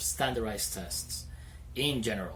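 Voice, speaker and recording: Vocal fry marks a man's voice, heard with audible room echo. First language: Spanish. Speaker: English teacher, video creator. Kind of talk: casual vlog talk to camera. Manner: stutters; hesitant, many fillers.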